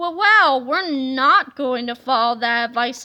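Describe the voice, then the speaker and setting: In a put-on character voice pitched high, a woman speaks fairly slowly with lively intonation. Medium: read story. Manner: blustering.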